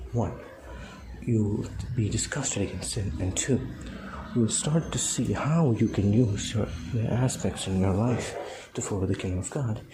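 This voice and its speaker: With audible room echo, a man talks in a fairly low pitch at a moderate pace, pausing long and often, with ordinary pitch variation. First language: a non-English native language. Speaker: lay preacher. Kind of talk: informal devotional talk. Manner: halting, many fillers and restarts.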